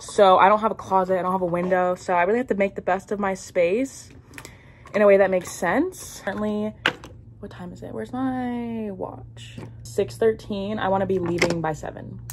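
A woman talks at a moderate pace, her loudness swinging widely over noticeable background noise. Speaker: lifestyle vlogger. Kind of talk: casual vlog chat. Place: home room. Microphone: phone near.

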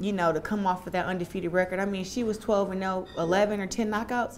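A woman talks at a very fast pace in a monotone, flat delivery, with light background noise. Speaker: interviewee. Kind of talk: interview answer. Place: home room. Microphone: lapel.

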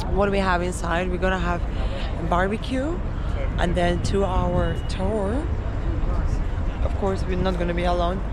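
Against music in the background, a woman speaks fairly slowly, the sound dry with no echo. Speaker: travel vlogger. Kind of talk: casual vlog chat. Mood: excited. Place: waterside. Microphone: phone near.

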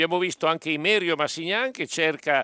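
The man's voice is fairly high, with a bright, sharp tone and ordinary pitch variation. It comes through dry and close with no echo in a very clean recording with a silent background. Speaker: sports commentator.

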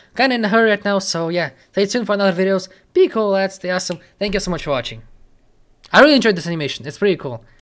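The man has a high pitch and lively intonation. He talks at a very fast pace. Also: quiet background. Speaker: reaction video host. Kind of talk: casual reaction video outro. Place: home room. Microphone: studio mic.

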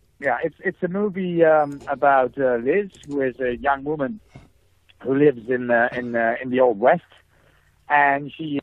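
With a Dutch accent, a man talks at a fairly slow pace, his pitch fairly high and his pitch variation ordinary. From Netherlands. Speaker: film writer-director. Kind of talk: interview. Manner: halting, many fillers and repetitions.

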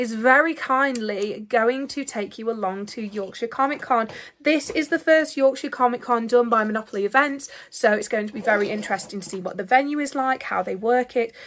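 Talking at a fairly quick pace, a woman with a high pitch and ordinary pitch variation makes big swings in loudness over light background noise. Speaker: vlogger. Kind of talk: casual vlog chat. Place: home room. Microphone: phone near.

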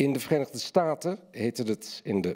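Against a quiet background, a man with a dark, mellow tone talks at a moderate pace. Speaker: essayist and journalist. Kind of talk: lecture reading and panel discussion. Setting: stage with audience. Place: hall. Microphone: podium.

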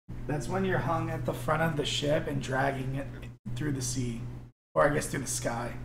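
Using a put-on character voice, a man sounds raspy at a medium pitch and talks at a moderate pace. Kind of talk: improvised tabletop role-play. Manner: teasing, sardonic.

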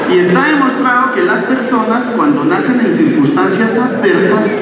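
Strong room echo and noticeable background noise accompany speech at a moderate pace. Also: man. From Bogotá, Colombia (south Bogotá). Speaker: stand-up comedian. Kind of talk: stand-up. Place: stage.

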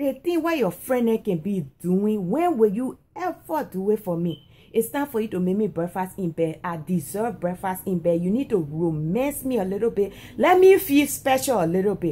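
Somewhat breathy, a woman speaks in a dark, mellow tone. Her pitch swings very widely. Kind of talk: casual vlog chat, playful complaint to partner. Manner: sleepy, pleading voice while lying down. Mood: playful, teasing demand. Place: home room. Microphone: phone near.

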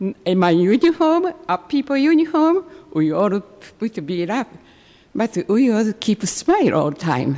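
With a Japanese accent, a woman talks at a fairly high pitch and a fairly slow pace. Her pitch swings very widely. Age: 80s+. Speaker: public commenter. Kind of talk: public comment at city council meeting. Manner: halting, broken English.

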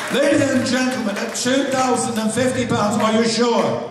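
Amid noticeable background noise and strong room echo, a man speaks at an extremely high pitch. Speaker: charity auctioneer. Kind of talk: live auction, auctioneer patter. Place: hall.

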